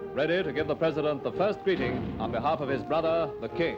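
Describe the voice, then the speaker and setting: Very fast speech from a man with a fairly high pitch, music in the background. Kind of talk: newsreel narration.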